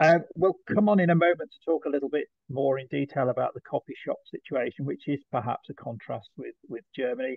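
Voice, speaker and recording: A man with a British accent talks with ordinary pitch variation. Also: quiet background, dry sound with no echo. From UK. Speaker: trade association executive. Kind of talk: presentation. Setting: video call. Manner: halting. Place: home room. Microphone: webcam.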